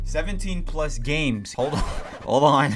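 A man speaks with music in the background. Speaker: gaming video creator. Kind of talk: casual talk to camera. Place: home room. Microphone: studio mic.

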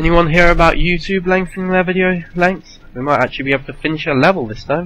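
Over music in the background, a man talks at a very fast pace. His voice is high with ordinary pitch variation. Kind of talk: casual gameplay commentary.

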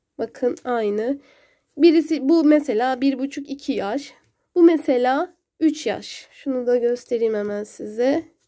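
Speaking very slowly, a woman uses a high pitch with a dark, mellow tone and ordinary pitch variation. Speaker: knitting tutorial youtuber. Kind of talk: tutorial.

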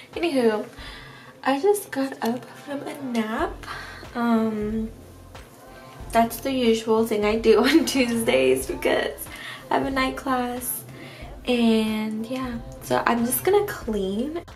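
A woman talks at a very slow pace, leaving long, frequent pauses. Faint music plays in the background. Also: ordinary pitch variation. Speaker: college student. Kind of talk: casual vlog talk to camera. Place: home room. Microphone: phone near.

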